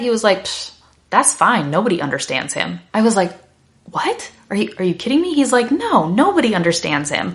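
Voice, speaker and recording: A woman's animated, fairly quick delivery with vocal fry and very wide pitch swings. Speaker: English teacher. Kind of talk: lesson to learners. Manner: fast.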